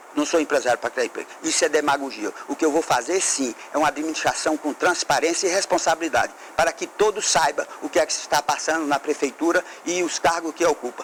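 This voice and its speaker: Noticeable background noise runs under this recording. A man speaks very fast in a fairly high pitch. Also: fairly even intonation. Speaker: mayoral candidate. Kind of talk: political debate statement. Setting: TV studio.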